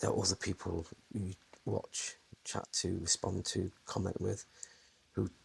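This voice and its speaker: A man speaks in a soft-spoken way. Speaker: vlogger. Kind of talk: casual chat. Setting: indoors, home room. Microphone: clip-on external mic on action camera, some echo.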